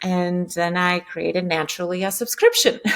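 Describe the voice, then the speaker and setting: A woman with a Lithuanian accent, medium-pitched, at a moderate pace. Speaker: entrepreneur. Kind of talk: interview. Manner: halting.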